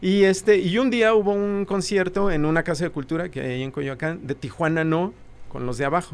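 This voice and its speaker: A man with a high pitch talks at a moderate pace, using lively intonation. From Mexico City. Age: young. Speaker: rock musician. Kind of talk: casual interview chat.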